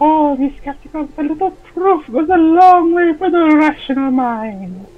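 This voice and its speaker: Using a put-on character voice, the speaker talks at a moderate pace in a high pitch. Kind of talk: posh, refined. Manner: skeptical, pragmatic.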